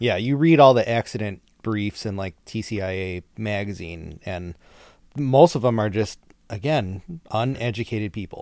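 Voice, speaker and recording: An unremarkable speaking voice from a man, fairly low in pitch, with ordinary pitch variation, big swings in loudness and a moderate pace. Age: 30s. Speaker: podcast host, municipal arborist. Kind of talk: casual interview chat. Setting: recording at home.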